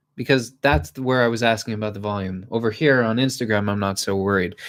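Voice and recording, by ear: Speaking at a fast pace, a man with a fairly low pitch comes through in a very clean recording with a silent background. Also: ordinary pitch variation.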